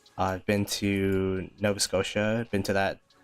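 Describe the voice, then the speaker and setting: With music in the background, a man with an Ontario accent speaks in a fairly low pitch. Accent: Canadian English (Ontario). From Canada, Greater Toronto Area. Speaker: gaming streamer. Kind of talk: live stream commentary with chat.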